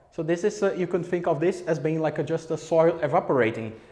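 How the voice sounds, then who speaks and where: A man speaks in a high pitch. Noticeable background noise runs behind him. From Brazil. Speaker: physics researcher. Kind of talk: public science talk. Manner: fast; hesitant with fillers.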